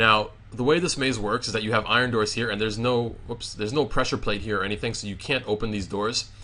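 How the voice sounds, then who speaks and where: Very fast and fairly even in intonation, a man speaks at medium pitch with a bright, sharp tone. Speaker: gaming YouTuber. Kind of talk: tutorial. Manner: casual, filler-heavy; stuttering today.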